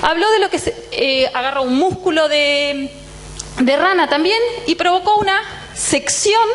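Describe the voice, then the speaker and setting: A woman's voice at a fairly slow pace, with very wide pitch swings and noticeable background noise. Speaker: physiology professor. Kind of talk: lecture. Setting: lecture hall with students. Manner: tends to speed up.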